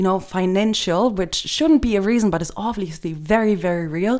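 Speaking with a German accent, a woman uses lively intonation at a fairly quick pace and a medium pitch. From Germany. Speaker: guest. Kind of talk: casual chat.

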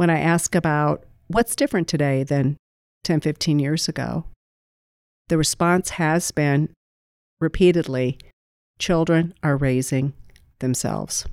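In a very clean recording with a silent background and dry, close sound with no echo, a woman with an American accent speaks at a fairly slow pace with long, frequent pauses, a very deep, low pitch and fairly even intonation. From US Midwest, small-town Iowa (Greene County). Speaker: food bank executive. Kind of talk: podcast interview.

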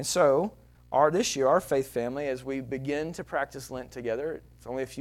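Someone speaks at a very fast pace in a Texan accent with fairly even intonation. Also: man. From Texas. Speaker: pastor. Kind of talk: sermon. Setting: church.

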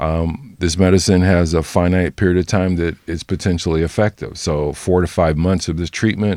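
In a very clean recording with a silent background, a man speaks at a moderate pace in a very deep, low voice with a dark, mellow tone. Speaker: OB-GYN physician. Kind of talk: interview. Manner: halting.

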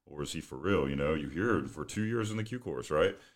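On a very clean recording with a silent background, a man talks at a fairly quick pace with lively intonation and vocal fry. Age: 30s. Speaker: special forces veteran, podcaster. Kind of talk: casual chat.

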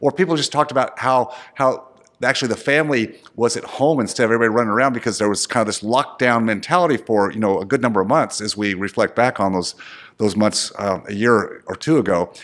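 A man talks very fast in an energetic tone at medium pitch. His pitch varies in an ordinary way. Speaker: dentist turned entrepreneur and investment group founder. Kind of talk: casual interview. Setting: video recording.

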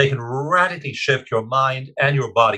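Bright and sharp in tone, a man talks at a fairly quick pace with a medium pitch and ordinary pitch variation. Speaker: science writer and researcher. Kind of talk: interview.

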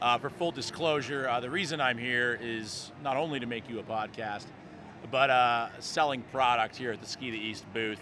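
A man talks in a normal speaking voice at a medium pitch, keeping a moderate pace and ordinary pitch variation. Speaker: podcast host. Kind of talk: podcast narration and on-location interviews. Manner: casual, jokey.

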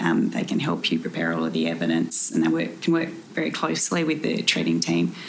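A woman speaks with an Australian accent. Noticeable background noise is audible. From South Australia. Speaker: solicitor. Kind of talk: interview.

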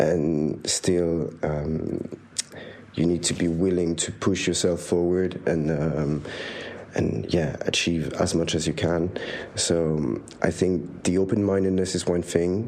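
Noticeable background noise surrounds a man with a very deep, low pitch. He speaks at a very slow pace with ordinary pitch variation. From Switzerland. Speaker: master's student. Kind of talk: interview. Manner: hesitant, many fillers.

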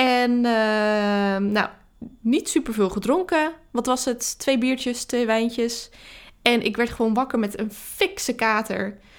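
Speaking at a very slow pace, a woman has a fairly high pitch with ordinary pitch variation and very even loudness. The recording is very clean, with a silent background. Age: 30s. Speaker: marketing coach podcaster. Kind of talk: solo podcast monologue.

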